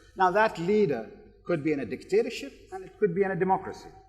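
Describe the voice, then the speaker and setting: Lively intonation marks this man's very fast speech. Noticeable background noise runs underneath. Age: 60s. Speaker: business executive and keynote speaker. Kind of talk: panel discussion.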